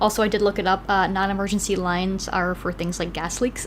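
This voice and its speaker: A woman's medium-pitched voice with a Wisconsin accent. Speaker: podcast co-host. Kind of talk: casual chat. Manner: hesitant, many fillers.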